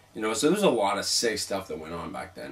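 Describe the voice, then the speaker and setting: A man speaks in an animated tone. Noticeable background noise runs underneath. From Quebec, Montreal. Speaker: paranormal show host and founder. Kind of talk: casual interview. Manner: talks fast when excited.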